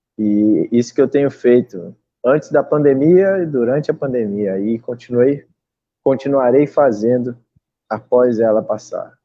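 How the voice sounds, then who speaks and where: An unremarkable speaking voice belongs to this man, at medium pitch. He talks at a fairly slow pace with ordinary pitch variation. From southern Brazil, Rio Grande do Sul. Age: 20s. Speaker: singer-songwriter. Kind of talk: online interview. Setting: live stream.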